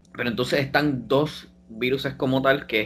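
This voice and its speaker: A man speaks with a Puerto Rican accent. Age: 20s. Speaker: biomedical sciences student. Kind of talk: casual chat.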